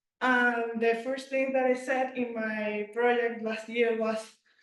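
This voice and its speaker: A woman speaks in a high, monotone voice with flat intonation, and the room echo is audible. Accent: Spanish. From Venezuela. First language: Spanish. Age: 20s. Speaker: former student presenting. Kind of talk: project presentation. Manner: halting.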